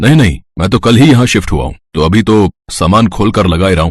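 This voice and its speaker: In a put-on character voice, a man rattles along at a very fast pace with lively intonation and a fairly low pitch. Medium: read story. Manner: polite, warm.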